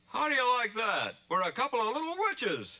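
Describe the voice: A cartoonish character voice runs at a fairly quick pace. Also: man, extremely high pitch for a man.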